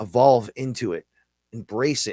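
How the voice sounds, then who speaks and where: A man with a New York accent and a dark, mellow tone is heard in a very clean recording, dry and close with no echo and a silent background. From New York City. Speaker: podcast host and musician. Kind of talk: casual monologue on live show. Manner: loud; animated.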